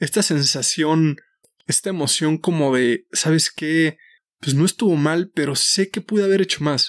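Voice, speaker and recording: A plain, everyday voice moves at a fairly slow pace with ordinary pitch variation and very even loudness. The recording is very clean with a silent background, with a dry, close sound and no echo. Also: man, fairly high pitch for a man. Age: 30s. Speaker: podcast host and nutrition coach. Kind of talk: solo podcast monologue.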